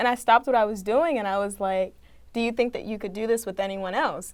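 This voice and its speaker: A woman with a plain, everyday voice and an American accent speaks fairly quickly at a fairly high pitch with ordinary pitch variation, on a very clean recording with a silent background. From Maryland, Prince George's County. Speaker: student journalist. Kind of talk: casual chat.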